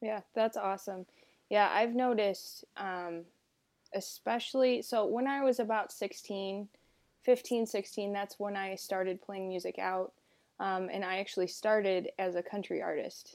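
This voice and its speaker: With an American accent, a woman speaks in an unremarkable speaking voice at medium pitch and a moderate pace, her intonation fairly even, on a very clean recording with a silent background. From US South, South Carolina. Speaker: guest host and musician. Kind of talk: casual interview conversation.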